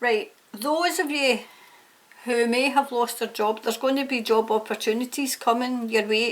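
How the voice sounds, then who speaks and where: A woman's high voice in a Scottish accent, moderate in pace, with ordinary pitch variation. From Scotland. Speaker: tarot reader. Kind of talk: tarot reading to camera. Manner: casual, hesitant with fillers.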